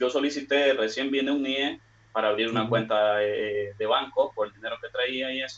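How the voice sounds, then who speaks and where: A man at medium pitch and a moderate pace, with fairly even intonation, over noticeable background noise. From Nicaragua. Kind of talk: question on live stream.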